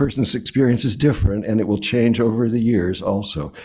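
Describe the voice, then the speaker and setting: In a room with audible echo, a man of medium pitch and dark, mellow tone speaks at a moderate pace. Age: 80s+. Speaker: lay speaker at church service. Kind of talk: sermon. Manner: halting.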